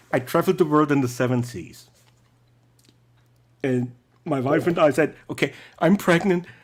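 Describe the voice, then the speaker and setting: Lively intonation marks this man's fairly high voice as he talks at a moderate pace. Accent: non-native. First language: not English. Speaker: call-in show guest. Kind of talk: casual chat. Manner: energetic.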